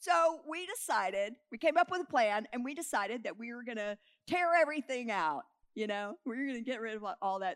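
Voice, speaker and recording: A woman's animated, fairly high voice with very wide pitch swings, at a moderate pace, dry and close with no echo. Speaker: preacher. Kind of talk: sermon. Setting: church. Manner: excitable.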